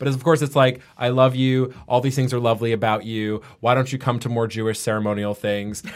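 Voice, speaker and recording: A man with an American accent and an unremarkable speaking voice talks at a fairly quick pace with hardly any pauses. His pitch is medium and his intonation fairly even. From New York (Manhattan, Westchester). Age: 30s. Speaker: party promoter. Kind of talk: casual chat. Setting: studio.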